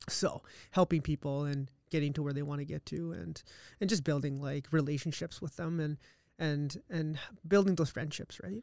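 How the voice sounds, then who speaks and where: In a very clean recording with a silent background and a dry, close sound with no echo, a man speaks with a Canadian accent at a fairly high pitch. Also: ordinary pitch variation. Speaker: accountant. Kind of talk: casual chat interview. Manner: fast talker, excitable.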